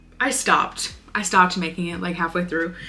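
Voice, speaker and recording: A woman speaks with an animated tone at a fairly quick pace. Noticeable background noise sits behind her. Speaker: crochet content creator. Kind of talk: casual vlog talk-through. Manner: animated, chatty.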